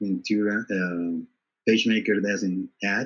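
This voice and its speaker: Speaking in a Spanish accent, a man keeps a very slow pace. His pitch sits fairly low. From Colombia, Bogota. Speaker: design trainer. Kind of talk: interview. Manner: halting.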